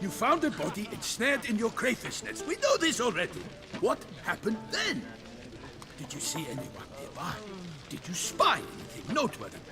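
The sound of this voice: Against clear music in the background, a man does a high-pitched, put-on character voice with very wide pitch swings. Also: moderate pace.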